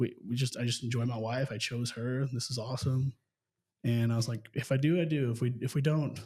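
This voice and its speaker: Somewhat breathy and dark, mellow in tone, the voice moves at a fairly quick pace with fairly even intonation. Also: man, medium pitch for a man. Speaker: real estate business owner. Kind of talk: casual interview chat. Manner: fast.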